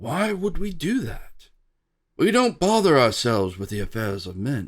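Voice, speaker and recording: This man uses a put-on character voice pitched fairly high, and his pitch swings very widely. He talks at a moderate pace. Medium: read story. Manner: calm, slow.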